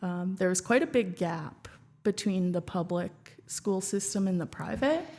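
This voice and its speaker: A woman with an unremarkable speaking voice and a Canadian accent speaks at a medium pitch and a fairly slow pace. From Canada (Regina, Saskatchewan). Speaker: former student union president and app co-creator. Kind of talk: podcast interview. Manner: casual, filler-heavy.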